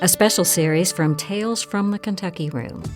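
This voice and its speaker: Music plays behind a woman speaking at a moderate pace. Her medium-pitched voice has lively intonation. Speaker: writing coach and podcast host. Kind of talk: podcast introduction.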